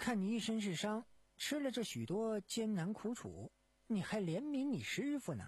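Reading aloud in a natural voice, with lively intonation

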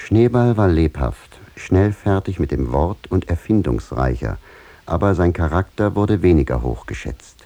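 This put-on character voice has a dark, mellow tone and lively intonation. It moves at a fairly slow pace with few pauses. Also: man, low pitch for a man.

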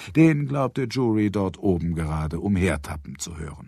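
On a very clean recording with a silent background, a man speaks at a moderate pace in a low, dark, mellow voice with a slightly husky edge and vocal fry, his pitch varying in an ordinary way.

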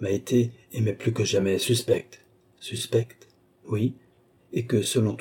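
The intonation stays fairly even. The passage is read aloud in a natural voice.

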